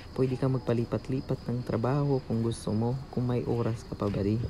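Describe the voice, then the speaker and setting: Over noticeable background noise, a man of medium pitch talks at a moderate pace with ordinary pitch variation. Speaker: vlogger, overseas worker. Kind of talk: vlog voice-over narration. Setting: cold air-conditioned room. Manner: halting, stumbling over words.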